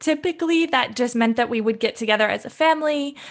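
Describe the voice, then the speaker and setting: A woman talks with lively intonation in an American accent. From US, Seattle. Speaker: expat interviewee. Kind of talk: casual interview. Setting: video call.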